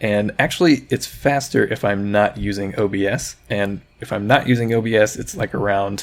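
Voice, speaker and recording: A man talks with ordinary pitch variation in an unremarkable speaking voice. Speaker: indie game developer, tutorial youtuber. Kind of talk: tutorial. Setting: screen recording on laptop.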